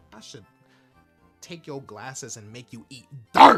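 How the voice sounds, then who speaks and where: Putting on a growling character voice at a medium pitch, a man talks at a moderate pace with big swings in loudness while music plays in the background. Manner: menacing, growling.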